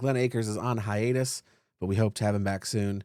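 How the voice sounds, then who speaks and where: Very fast speech comes in a dark, mellow tone. The recording is very clean, with a silent background. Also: man. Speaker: podcast host. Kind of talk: casual chat. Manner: loud; animated.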